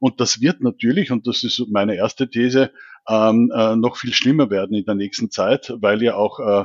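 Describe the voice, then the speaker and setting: A man's medium-pitched voice with a Viennese accent. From Austria, Vienna. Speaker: digital government consultant. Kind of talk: expert interview. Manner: hesitant, many fillers.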